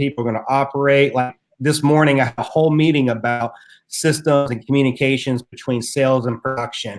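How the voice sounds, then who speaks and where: Speaking fairly quickly with an Appalachian accent, a man uses a medium pitch and fairly even intonation. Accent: Appalachian mountain twang. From US South, Southwest Virginia (Appalachia). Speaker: entrepreneur and podcaster. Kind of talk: interview. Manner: casual, conversational.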